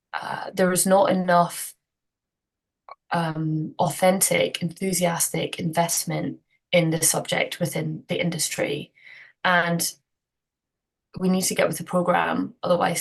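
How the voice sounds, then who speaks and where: A woman with a Scottish accent, fairly slow and flat in a monotone, with vocal fry and long, frequent pauses. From Scotland. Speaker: cyclist, inclusion consultant, community activist. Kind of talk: podcast interview answer.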